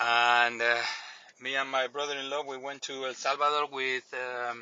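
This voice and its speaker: This man has a Spanish accent and a medium pitch, speaking at a moderate pace with monotone, flat intonation. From Canary Islands, Spain. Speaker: listener caller. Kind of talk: recorded voice message.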